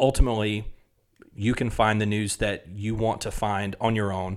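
On a very clean recording with a silent background, a man with a Southern US accent and a fairly low pitch talks at a moderate pace with fairly even intonation. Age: 30s. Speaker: podcast host. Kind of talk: solo monologue, podcast intro. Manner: conversational, earnest.

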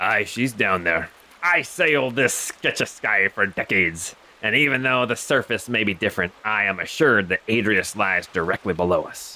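Using a put-on character voice pitched fairly low, a man speaks at a moderate pace with lively intonation. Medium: actual play. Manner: gruff, terse sailor's speech.

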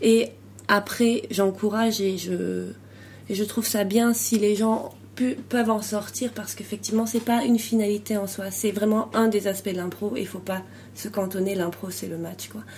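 Her delivery is monotone and flat. She talks at a moderate pace. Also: medium pitch for a woman. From France. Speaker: improv performer and coach. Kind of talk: interview.

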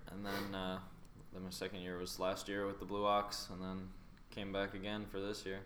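A fairly low-pitched man at a moderate pace, monotone and flat, with audible room echo. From North Carolina, US South. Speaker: junior hockey goaltender. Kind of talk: casual interview.

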